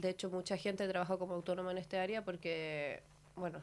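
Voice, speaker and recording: In a Chilean accent, the speaker moves at a fairly quick pace with monotone, flat intonation. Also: woman. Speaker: master's student. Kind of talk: radio interview.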